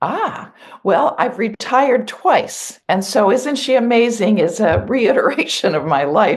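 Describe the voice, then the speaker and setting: A woman speaks fairly slowly with lively intonation. Her voice is fairly high in pitch and carries vocal fry. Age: 70s. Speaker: therapist and author. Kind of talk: podcast interview. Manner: halting, repeats words.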